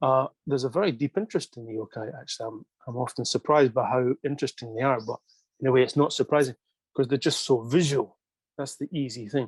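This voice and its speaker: With a Scottish accent, a man speaks at a very fast pace at a medium pitch, his ordinary pitch variation paired with big swings in loudness, in a dry, close sound with no echo. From Scotland. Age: 50s. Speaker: manga writer. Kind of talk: interview. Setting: video call.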